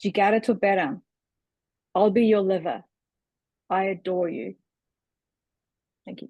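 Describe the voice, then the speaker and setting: A woman with a New Zealand accent speaks at a moderate pace with long, frequent pauses. Her dark, mellow voice has a medium pitch, ordinary pitch variation and big swings in loudness. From New Zealand, Auckland. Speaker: writer. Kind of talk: reading aloud.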